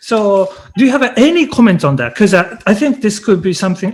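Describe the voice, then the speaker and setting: A high-pitched man with a Japanese accent speaks with lively intonation. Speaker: university lecturer, lecture series host. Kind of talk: academic interview. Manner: halting.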